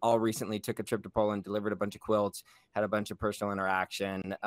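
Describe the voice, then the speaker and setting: A man talks at a very fast pace in a fairly low voice. The recording is very clean with a silent background, dry and close with no echo. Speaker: podcast host. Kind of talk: interview, upbeat casual chat.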